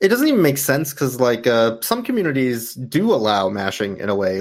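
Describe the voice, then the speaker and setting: A man with an unremarkable speaking voice talks at a moderate pace, his medium pitch showing ordinary variation. The recording is very clean, with a silent background. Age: 30s. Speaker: speedrunner and charity marathon organizer. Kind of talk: casual interview.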